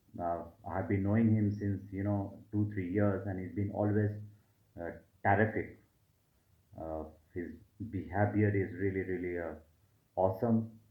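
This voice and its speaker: In a room with audible echo, a man with a fairly low pitch talks at a moderate pace in a monotone, flat intonation, taking long, frequent pauses. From India (Delhi). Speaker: HR manager, student giving a testimonial. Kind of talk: testimonial. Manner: hesitant, many fillers.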